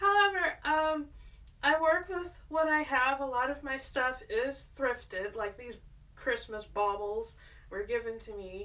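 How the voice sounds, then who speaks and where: With a raised, projected voice and a bright, sharp tone, the speaker goes at a fairly slow pace through very wide pitch swings and big swings in loudness. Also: woman, high pitch for a woman. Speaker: artist and home decor vlogger. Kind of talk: casual vlog. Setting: at home in apartment. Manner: stutters when nervous.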